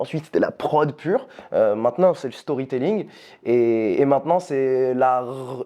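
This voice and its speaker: A man with an ordinary speaking voice, medium in pitch with ordinary variation, at a fairly slow pace. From France. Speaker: youtuber. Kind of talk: casual chat.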